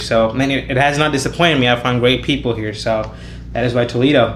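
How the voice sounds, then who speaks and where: Man talking at a fairly quick pace with fairly even intonation, amid noticeable background noise and audible room echo. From India. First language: Indian language, not English. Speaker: college student. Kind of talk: podcast interview. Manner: casual, many filler words.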